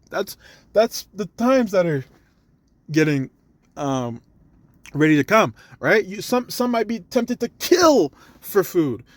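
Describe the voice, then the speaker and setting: Animated in tone, a man speaks at a fairly slow pace with very wide pitch swings, in a dry, close sound with no echo on a very clean recording with a silent background. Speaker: religious teacher. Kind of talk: sermon. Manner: halting, stuttering.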